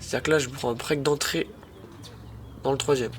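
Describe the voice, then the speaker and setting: The man's voice sits fairly high in pitch. Noticeable background noise can be heard. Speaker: amateur tennis YouTuber. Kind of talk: match commentary voice-over. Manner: animated.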